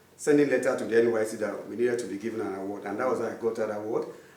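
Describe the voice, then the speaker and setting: Speaking at a very fast pace, a man with medium pitch keeps his intonation fairly even, and the room echo is audible. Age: 50s. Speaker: artist. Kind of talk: interview.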